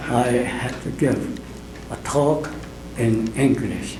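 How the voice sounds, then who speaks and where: Noticeable background noise and audible room echo surround a man speaking at a medium pitch with monotone, flat intonation. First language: Japanese. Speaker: invited speaker at temple anniversary. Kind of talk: speech at a celebration. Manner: slow.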